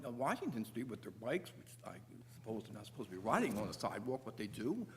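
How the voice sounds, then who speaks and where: A man is speaking. His voice is somewhat breathy. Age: 70s. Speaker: resident addressing a town commission. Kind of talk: public meeting testimony. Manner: halting, with frequent fillers and restarts.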